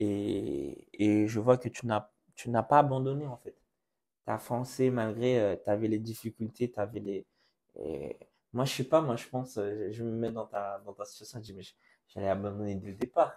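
A man talks at a fairly slow pace with a dark, mellow tone and fairly even intonation. His loudness swings widely. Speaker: church youth podcast host. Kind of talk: casual chat. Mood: sincere, faith-centered. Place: studio. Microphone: lapel.

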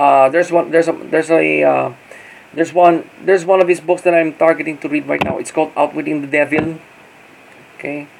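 Over light background noise, a man talks at a fairly quick pace with a fairly high pitch, leaving long, frequent pauses. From Philippines. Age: 40s. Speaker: YouTuber and blogger; vlogger. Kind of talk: casual vlog monologue. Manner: halting, many fillers and repeats. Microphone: phone near.

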